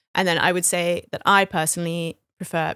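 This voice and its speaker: A woman's fairly low, monotone voice with flat intonation and an American accent, at a moderate pace, in a dry, close sound with no echo and a very clean recording over a silent background. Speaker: poet. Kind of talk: casual chat.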